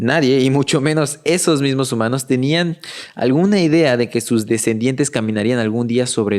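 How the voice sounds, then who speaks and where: This man uses a plain, everyday voice, speaking at a moderate pace with ordinary pitch variation. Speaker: educational content creator summarizing books. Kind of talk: podcast-style book summary.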